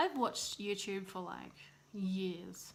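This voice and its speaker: Speaking very slowly, a woman with an Australian accent uses a medium pitch and fairly even intonation. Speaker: vlogger, new mother. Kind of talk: casual vlog monologue.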